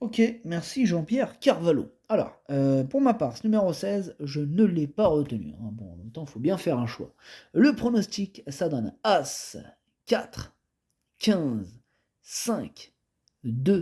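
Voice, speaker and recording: Speaking at a very slow pace with long, frequent pauses, this man has a dark, mellow tone, very wide pitch swings and big swings in loudness. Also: fairly high pitch for a man. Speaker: horse racing tipster. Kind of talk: betting tips presentation. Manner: casual, hesitant with fillers.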